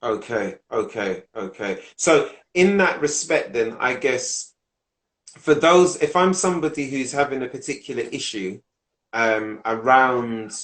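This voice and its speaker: Using a plain, everyday voice, a man talks at a medium pitch and a fairly slow pace with lively intonation. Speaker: podcast host. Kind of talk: interview question.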